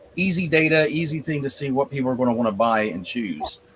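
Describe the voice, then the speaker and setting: With noticeable background noise behind him, a man talks at a moderate pace in a fairly high pitch, his intonation lively. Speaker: podcast host. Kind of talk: casual panel discussion. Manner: stutters often.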